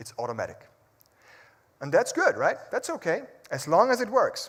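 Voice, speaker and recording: Speaking with a non-native accent, someone talks at a fairly quick pace. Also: man. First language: not English. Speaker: public speaker. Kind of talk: motivational talk.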